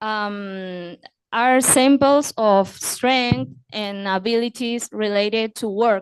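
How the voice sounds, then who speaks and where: A woman with a Spanish accent speaks very slowly at a fairly high pitch. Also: ordinary pitch variation. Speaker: audience member. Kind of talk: audience question. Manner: halting.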